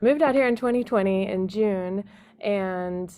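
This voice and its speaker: A woman's plain, everyday voice at medium pitch and moderate pace, with an American accent, on a very clean recording with a silent background. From Texas. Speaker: singer-songwriter. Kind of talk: podcast interview.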